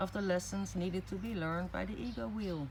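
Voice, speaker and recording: A woman talks at a medium pitch as noticeable background noise carries on. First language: not English. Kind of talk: spoken reflective blog.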